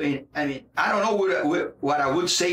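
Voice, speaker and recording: A man with a Portuguese accent, lively intonation, and a moderate pace. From Brazil, Rio de Janeiro. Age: 40s. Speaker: jiu-jitsu instructor and fighter. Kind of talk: interview.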